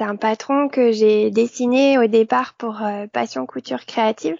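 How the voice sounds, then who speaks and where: A woman speaks very slowly, her fairly high voice carried by lively intonation. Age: 40s. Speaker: sewing blogger and pattern designer. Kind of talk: interview.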